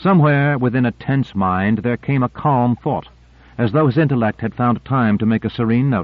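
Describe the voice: A plain read-aloud delivery with ordinary variation in pitch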